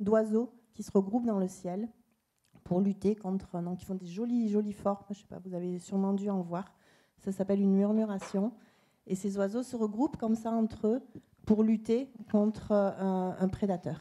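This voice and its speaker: Here a woman speaks with a Toulouse accent at a moderate pace. Her voice is medium-pitched with a dark, mellow tone. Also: fairly even intonation. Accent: southern French (Toulouse). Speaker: tourism data company representative. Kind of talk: panel presentation. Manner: hesitant, many fillers.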